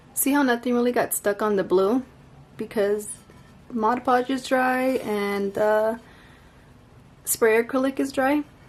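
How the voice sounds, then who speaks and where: Over music in the background, a woman with a high pitch speaks at a fairly slow pace. Her intonation is fairly even, with long, frequent pauses. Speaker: crafting YouTuber. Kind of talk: tutorial. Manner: casual.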